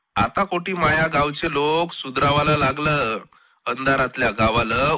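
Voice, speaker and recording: A man with a fairly high pitch and a normal speaking voice. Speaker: poet. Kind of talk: poetry reading. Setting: radio studio.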